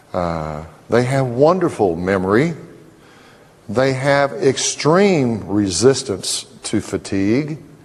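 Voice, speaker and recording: A man talks at a very slow pace in a medium pitch, his voice swinging very widely up and down. Noticeable background noise sits behind him. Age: 60s. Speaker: dental lecturer. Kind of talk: lecture.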